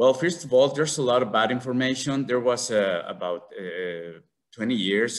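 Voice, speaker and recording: With a Mexican accent, a man talks at a medium pitch. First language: Spanish. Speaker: conservationist, tarantula breeder. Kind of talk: symposium talk. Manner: halting.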